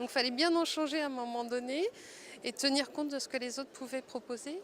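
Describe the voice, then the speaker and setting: Her high-pitched voice shows ordinary pitch variation as this woman talks. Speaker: multimedia designer, workshop participant. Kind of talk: interview testimony. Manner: slow; hesitant, many fillers.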